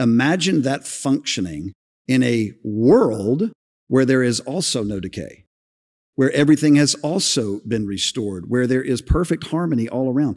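Here a man speaks with a plain, everyday voice at a medium pitch. His pace is moderate. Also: lively intonation. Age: 50s. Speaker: senior pastor. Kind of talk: live podcast discussion before a congregation. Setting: church sanctuary with audience.

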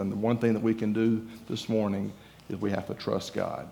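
A man with a Southern US accent speaks at a fairly quick pace in a fairly low pitch, his intonation monotone and flat. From Georgia, US. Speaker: guest preacher. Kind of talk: sermon. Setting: church.

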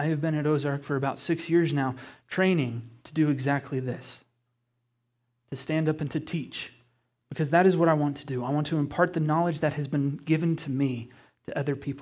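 A man's fairly high voice with an American accent, a plain, everyday voice, fairly even intonation and a fairly quick pace, on a very clean recording with a silent background. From Colorado, US. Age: 20s. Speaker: guest preacher. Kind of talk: sermon. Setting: church with congregation.

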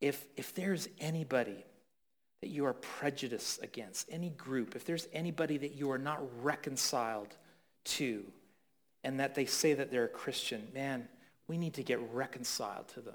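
A man talks at a moderate pace with a Canadian accent, in a plain, everyday voice. His pitch is fairly high, with ordinary pitch variation. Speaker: pastor. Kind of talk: sermon.

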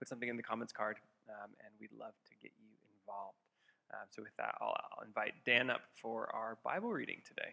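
Loudness rises and falls sharply in a man's voice. He moves at a fairly quick pace. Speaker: assistant pastor. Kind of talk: church announcements. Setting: church. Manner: hesitant, many fillers.

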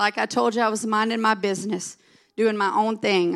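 In a Southern US accent, a woman with a fairly high pitch talks at a moderate pace in an animated tone, on a very clean recording with a silent background. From US South. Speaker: pastor's wife and preacher. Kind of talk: sermon. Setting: church.

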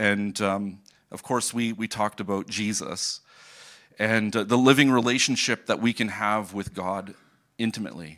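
A man with a Canadian accent and a normal speaking voice talks at a moderate pace and fairly low pitch. His intonation is fairly even, and the recording is very clean with a silent background. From Ontario, Canada. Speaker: missionary. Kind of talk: sermon. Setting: church.

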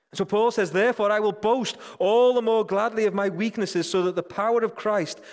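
A man with a British accent on a very clean recording, background silent. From Britain. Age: 40s. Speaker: church leader, preacher. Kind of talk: sermon.

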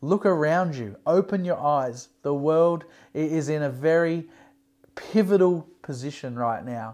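The speaker has an Australian accent and an animated tone. The pace is fairly slow. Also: very clean recording, silent background. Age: 40s. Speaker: pastor. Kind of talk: sermon.

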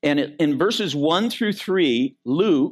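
With an American accent and vocal fry, a man speaks at a fairly slow pace with lively intonation on a very clean recording with a silent background. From Michigan. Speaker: pastor. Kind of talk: sermon. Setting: church.

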